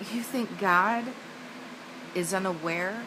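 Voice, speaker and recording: A woman's medium-pitched voice with lively intonation over noticeable background noise. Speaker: evangelistic speaker. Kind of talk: evangelistic spoken-word sermon.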